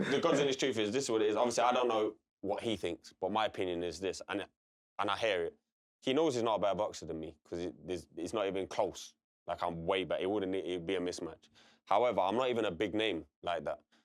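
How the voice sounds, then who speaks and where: A man talks very fast in a fairly low voice with a Derby accent. His pitch varies in an ordinary way. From English East Midlands, Derby. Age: 30s. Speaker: boxer. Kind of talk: casual chat.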